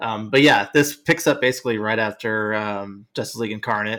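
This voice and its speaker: At a moderate pace, a man speaks with a medium pitch, ordinary pitch variation, and a bright, sharp tone, captured on a very clean recording with a silent background. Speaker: podcast panelist. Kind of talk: casual chat.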